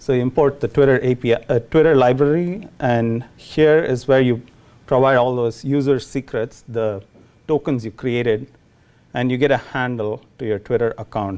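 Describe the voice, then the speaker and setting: With a Tamil Indian accent, a man talks at a moderate pace in a medium pitch, his tone dark and mellow and his intonation fairly even. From India, Chennai. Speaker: programmer giving a lightning talk. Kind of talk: tech talk to a meetup audience. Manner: hesitant, many fillers.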